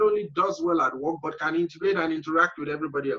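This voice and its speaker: Talking very fast with an African accent, a man uses lively intonation and a bright, sharp tone. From Nigeria, middle belt. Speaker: entrepreneur. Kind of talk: interview. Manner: frequent fillers and hesitations.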